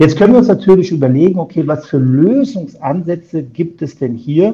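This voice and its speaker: A man's dark, mellow tone with vocal fry, ordinary pitch variation, and a moderate pace. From Germany. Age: 50s. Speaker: insurance broker. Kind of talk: interview. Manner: hesitant with many filler sounds.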